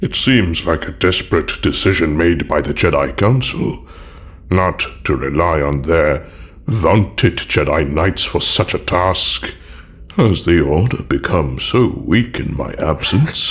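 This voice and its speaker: Over light background noise, a man puts on a character voice with a very deep, low pitch, lively intonation and a fairly slow pace. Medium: audio drama.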